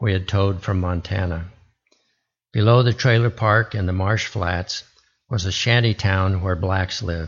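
With an American accent, a man speaks in a somewhat breathy voice at a moderate pace, fairly low pitch and fairly even intonation. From US West (Arizona, Alaska, Oregon). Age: old. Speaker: military veteran. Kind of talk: lay sermon.

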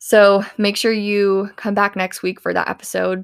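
A woman with a Midwestern American accent speaks at a medium pitch and a moderate pace. The recording is very clean, with a silent background. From US Midwest, rural southeast Iowa. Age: 20s. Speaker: podcast host. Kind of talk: motivational monologue.

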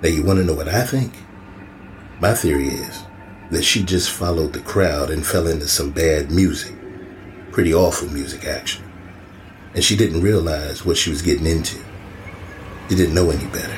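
Over noticeable background noise, a man with a very deep, low pitch and ordinary pitch variation speaks with long, frequent pauses. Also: fairly quick pace. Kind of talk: horror audio drama dialogue. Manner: gruff, folksy, probing.

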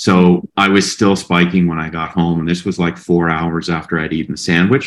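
A man's voice sits very deep and low, with fairly even intonation. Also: moderate pace. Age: 50s. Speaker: health content creator. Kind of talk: casual interview.

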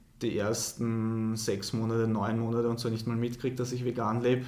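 Monotone, flat intonation from a man at medium pitch and moderate pace, with audible room echo. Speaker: professional middle-distance runner. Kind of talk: interview.

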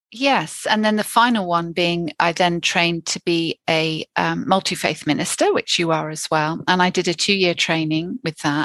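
Speaking at a moderate pace with hardly any pauses, a woman uses an ordinary speaking voice that is fairly low, with ordinary pitch variation. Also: dry, close sound with no echo. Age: 50s. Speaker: therapist and addiction counselor. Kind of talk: interview.

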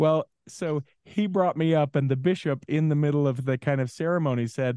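The voice has a dark, mellow tone and ordinary pitch variation, with an American accent. The sound is dry and close, with no echo. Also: man. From Utah. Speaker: podcast coach and former radio DJ. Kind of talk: casual interview.

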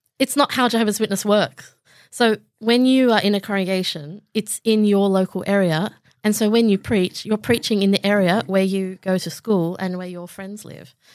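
A woman with an Australian accent speaks at a moderate pace and medium pitch, with fairly even intonation but big swings in loudness. The recording is very clean, with a silent background and a dry, close sound without echo. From Southwest Sydney, Australia. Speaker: comedian. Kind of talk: casual chat.

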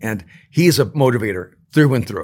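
With ordinary pitch variation and a fairly quick pace, a man talks in a plain, everyday voice on a very clean recording with a silent background. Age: 60s. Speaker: author and speaker.

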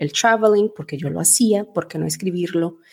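This woman's voice is fairly low in pitch. Her tone is dark and mellow. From Venezuela, then Portugal from age 8. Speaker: travel blogger and polyglot. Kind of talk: interview.

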